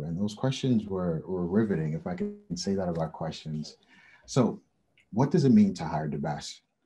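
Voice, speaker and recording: Background music can be heard. Over it, a man's speech moves at a moderate pace. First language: not English. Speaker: head of talent acquisition. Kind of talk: webinar presentation.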